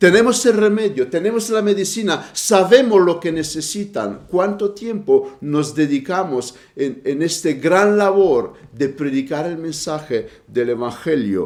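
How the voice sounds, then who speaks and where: Lively, high-pitched male speech with a Romanian accent and noticeable background noise. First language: Romanian (speaking Spanish). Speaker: preacher. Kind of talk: sermon. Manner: halting.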